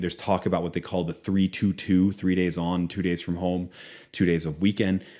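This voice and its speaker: Recorded very cleanly against a silent background, a man with an American accent speaks in a very deep, low voice. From Philadelphia and Boston area, US. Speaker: author and former business professor. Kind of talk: interview conversation.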